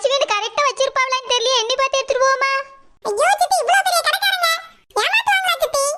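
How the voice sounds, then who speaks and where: Putting on a cartoonish character voice, a woman speaks at a moderate pace with lively intonation. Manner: flattering, sweet-talking.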